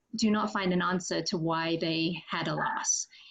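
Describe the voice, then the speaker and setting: Speaking at a fairly slow pace, a woman with an English accent uses ordinary pitch variation. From England. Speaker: fertility doctor. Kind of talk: interview.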